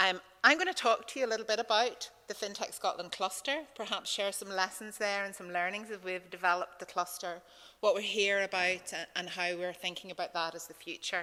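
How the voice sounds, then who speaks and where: Her tone bright and sharp, a woman talks at a fairly quick pace in a medium pitch, her intonation fairly even while her loudness swings widely. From Northern Ireland, County Tyrone. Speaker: conference speaker, fintech cluster leader. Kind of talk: conference presentation.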